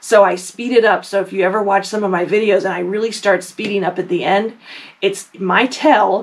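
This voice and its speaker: A woman speaks at a medium pitch with ordinary pitch variation, over noticeable background noise. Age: 50s. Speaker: quilting YouTuber. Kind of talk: casual talk to camera. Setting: home basement recording room. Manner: fast; filler words, says um often.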